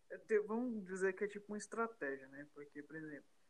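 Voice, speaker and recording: This is a man talking. His pitch moves up and down an ordinary amount. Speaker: podcast host. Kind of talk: casual interview.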